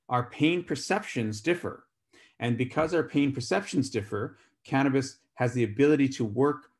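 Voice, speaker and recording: A man speaks at a moderate pace with ordinary pitch variation. He has a plain, everyday voice, and the recording is very clean with a silent background. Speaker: physician giving a medical talk. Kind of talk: lecture.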